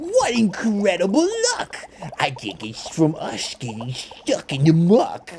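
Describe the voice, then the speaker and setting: At a fairly slow pace, someone performs a put-on character voice pitched in the middle range. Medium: read story.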